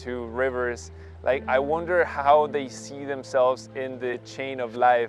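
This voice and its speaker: Over music in the background, a man with a medium pitch speaks at a very slow pace. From Colombia, Quindio coffee region. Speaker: community organizer. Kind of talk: personal storytelling.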